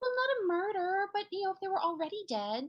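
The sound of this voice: A woman at an extremely high pitch, fast pace and big pitch swings.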